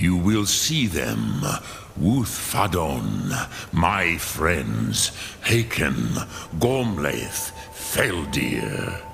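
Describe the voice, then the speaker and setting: A man speaks very slowly in a put-on character voice with a very deep, low pitch, and clear background noise can be heard. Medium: video game. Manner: slow, measured, grave.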